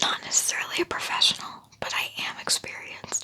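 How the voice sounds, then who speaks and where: A woman whispers over noticeable background noise. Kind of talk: ASMR whispered educational talk about a pet snake. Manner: whispered, soft-spoken.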